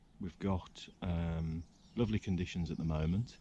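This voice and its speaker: A man speaks quietly in a very deep, low voice with a dark, mellow tone and fairly even intonation. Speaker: angling vlogger. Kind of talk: outdoor vlog narration. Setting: outdoors by a river. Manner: quiet, keeping voice down; hesitant, many fillers.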